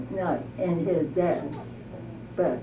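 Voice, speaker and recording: Noticeable background noise runs under this recording. A woman speaks at a very slow pace. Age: 80s+. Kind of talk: interview answer. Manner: hesitant, halting.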